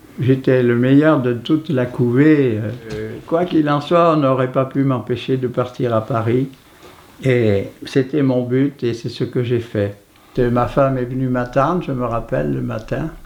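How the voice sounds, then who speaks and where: Noticeable background noise accompanies a man speaking fairly slowly in a medium pitch with ordinary pitch variation. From southwestern France, Haute-Garonne. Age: 80s+. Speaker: poster artist and poet. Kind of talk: interview. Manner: halting.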